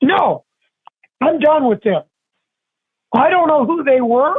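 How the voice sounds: A man speaks at an extremely high pitch. His pace is slow and his intonation lively.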